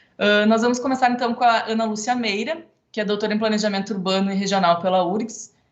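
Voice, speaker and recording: Speaking at a very fast pace, a woman keeps her fairly high pitch in fairly even intonation. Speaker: architect and council member moderating panel. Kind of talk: event moderation. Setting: online event, video call.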